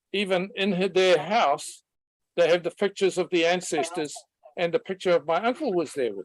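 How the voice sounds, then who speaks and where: A New Zealand accent at a moderate pace. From New Zealand, countryside. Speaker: webinar participant. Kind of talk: personal story in online discussion.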